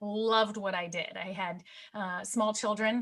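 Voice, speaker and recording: Her intonation is monotone and flat. The woman speaks at a medium pitch. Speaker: media coach and TV host. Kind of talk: presentation. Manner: fast.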